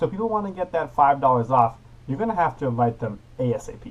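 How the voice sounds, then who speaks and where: The speaker talks at a very fast pace with lively intonation and a somewhat breathy quality. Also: man. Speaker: youth parliament premier. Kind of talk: casual vlog to camera. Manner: upbeat.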